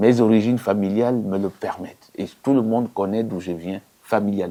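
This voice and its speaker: A man's fairly low, dark, mellow voice with fairly even intonation. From Gabon. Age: 60s. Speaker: politician. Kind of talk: interview. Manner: emphatic.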